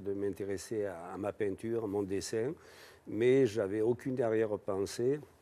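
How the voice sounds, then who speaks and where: A fairly low-pitched man's voice with a dark, mellow tone, fairly slow and with fairly even intonation. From southern France, Avignon. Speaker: painter and sculptor. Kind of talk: TV interview. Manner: hesitant, with frequent fillers.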